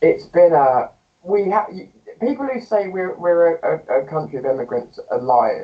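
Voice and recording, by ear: A man with a fairly high pitch talks at a moderate pace, his intonation lively.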